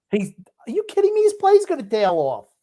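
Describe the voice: A man with an extremely high pitch and a dark, mellow tone talks at a fairly quick pace with very wide pitch swings.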